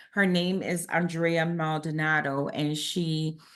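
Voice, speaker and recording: Very deep and low in pitch, a woman speaks with fairly even intonation over a quiet background. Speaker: accreditation director presenting a webinar. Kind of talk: online presentation. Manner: frequent filler words (um).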